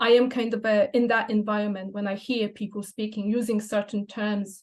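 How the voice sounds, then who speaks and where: In a fairly high pitch, a woman talks at a moderate pace, her intonation monotone and flat. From Poland. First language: Polish. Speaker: language teacher and photographer. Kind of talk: presentation. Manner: hesitant, many fillers.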